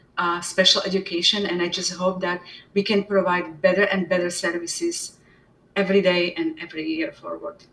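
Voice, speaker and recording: In a Slovak accent, a woman speaks at a fairly quick pace with ordinary pitch variation. Noticeable background noise sits behind her. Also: medium pitch for a woman. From Slovakia. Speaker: special education department head. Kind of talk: interview. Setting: live webinar.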